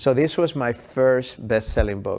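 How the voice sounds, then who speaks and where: A man talks at a moderate pace with a medium pitch. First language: not English. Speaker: health expert and author. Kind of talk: interview conversation. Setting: podcast.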